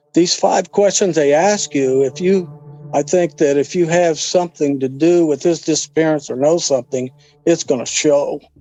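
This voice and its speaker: With music in the background, the voice holds a very even loudness and fairly even intonation at a moderate pace. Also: man, fairly high pitch for a man. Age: 60s. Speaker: father of missing person. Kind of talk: interview testimony. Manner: halting.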